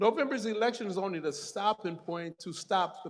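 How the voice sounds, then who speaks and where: In a very clean recording with a silent background, someone speaks in an American accent at a moderate pace with ordinary pitch variation. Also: man. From Detroit, Michigan. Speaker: political organizer. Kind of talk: rally speech.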